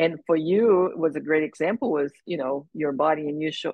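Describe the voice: A woman speaks at a fairly quick pace in a low pitch, with a slightly husky edge and ordinary pitch variation.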